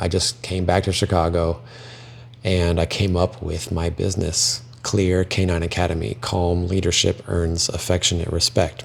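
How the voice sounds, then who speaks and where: A man speaks at a moderate pace in a very deep, low pitch, his intonation fairly even, with noticeable background noise behind him. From Belgium. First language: French. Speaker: dog trainer. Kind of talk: personal testimony.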